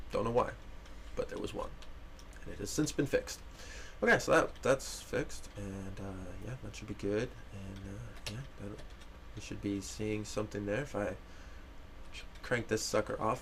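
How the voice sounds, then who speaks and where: A man's mumbling at a moderate pace, with big swings in loudness and long, frequent pauses. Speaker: game developer livestreamer. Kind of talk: live stream gameplay commentary. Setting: live stream. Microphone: mic a bit quiet.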